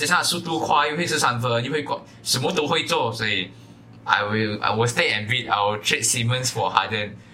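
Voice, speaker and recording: A man with a medium pitch talks at a fairly quick pace with lively intonation. Noticeable background noise runs underneath. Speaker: basketball podcast co-host. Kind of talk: casual chat.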